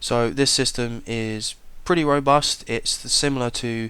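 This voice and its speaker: A man in a British accent speaks at medium pitch with fairly even intonation. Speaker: tech reviewer. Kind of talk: product review. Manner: casual.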